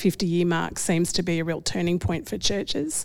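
At a moderate pace comes a plain, everyday voice, on a very clean recording with a silent background. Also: woman. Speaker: Baptist minister. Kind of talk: casual roundtable discussion.

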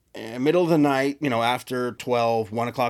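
Talking fairly quickly in an ordinary speaking voice, a man with an American accent has a medium pitch and ordinary pitch variation. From Texas. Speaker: podcast co-host. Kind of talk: casual chat.

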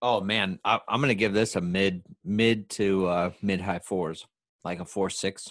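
A plain, everyday voice from a man, fairly low in pitch and fairly slow, over a quiet background. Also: fairly even intonation. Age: 30s. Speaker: podcast guest. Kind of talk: casual chat.

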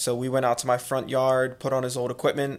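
A man with a Philadelphia accent speaks at a fairly quick pace and medium pitch. The recording is very clean, with a silent background. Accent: Philadelphia-area American. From Conshohocken, Pennsylvania (Philadelphia area). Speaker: college lacrosse head coach. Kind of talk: casual interview.

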